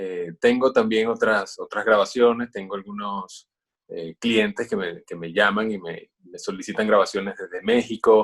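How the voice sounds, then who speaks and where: Big swings in loudness run through a man's fairly slow speech. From Venezuela. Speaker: voice-over announcer. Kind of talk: interview. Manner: hesitant, many fillers.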